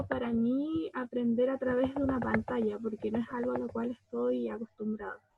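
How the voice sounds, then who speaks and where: A woman talks at a moderate pace in a high voice. Her intonation stays fairly even. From Chiloé, southern Chile. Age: 20s. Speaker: social work student. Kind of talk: panel discussion.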